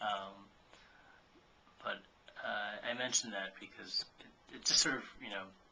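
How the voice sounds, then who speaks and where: Over noticeable background noise, a man with a fairly low pitch speaks in a monotone, flat way at a fairly slow pace, with big swings in loudness and long, frequent pauses. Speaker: vlogger. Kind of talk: casual vlog monologue. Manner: halting, many fillers; self-described as not very articulate.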